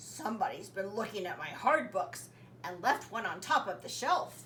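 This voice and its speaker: Against clear background noise, a woman puts on a raspy character voice at medium pitch and a moderate pace. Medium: read story.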